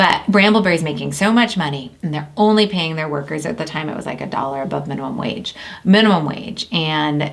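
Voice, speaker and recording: A woman with a very deep, low pitch speaks fairly quickly in an animated tone with lively intonation. Audible room echo and noticeable background noise surround her. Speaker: business founder and CEO. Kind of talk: casual chat. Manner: fast.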